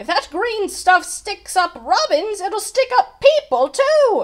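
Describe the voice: A woman speaks slowly in a put-on character voice, pitched extremely high with big swings up and down.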